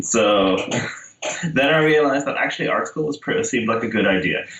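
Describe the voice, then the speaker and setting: There is noticeable background noise while this man rattles along at a very fast pace. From Netherlands. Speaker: children's book illustrator. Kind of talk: casual interview. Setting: phone or video call.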